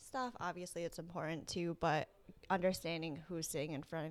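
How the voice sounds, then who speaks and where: A woman speaks in an ordinary speaking voice, fairly low in pitch. Her pace is moderate, with ordinary pitch variation. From Rhode Island, US. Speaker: teacher. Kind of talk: interview.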